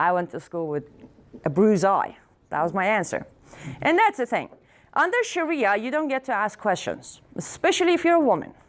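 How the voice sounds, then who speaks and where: Loud and animated, a woman with an Iranian accent speaks at a fairly quick pace in a fairly high voice, her pitch swinging very widely between long, frequent pauses. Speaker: activist speaker. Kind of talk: speech to audience.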